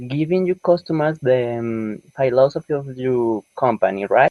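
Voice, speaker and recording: This man speaks with a non-native accent. His pitch sits fairly high. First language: not English. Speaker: viewer joining the chat. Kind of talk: casual business chat. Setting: live video chat, audio only.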